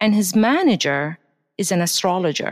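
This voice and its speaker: Heard in a very clean recording with a silent background, a woman speaks with lively intonation at a fairly low pitch. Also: dry, close sound with no echo. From Baghdad, Iraq. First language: Arabic. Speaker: astrologer and hypnotherapist. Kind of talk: casual interview.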